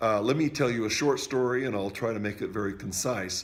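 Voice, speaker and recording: A man at a fairly quick pace. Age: 60s. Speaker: music teacher sharing product testimony. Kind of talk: testimony. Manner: halting, frequent fillers.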